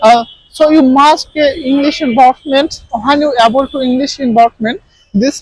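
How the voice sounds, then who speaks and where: A man speaks with an extremely high pitch. His pace is fairly slow, in a Bengali accent. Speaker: English teacher. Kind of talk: tutorial. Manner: halting, many fillers.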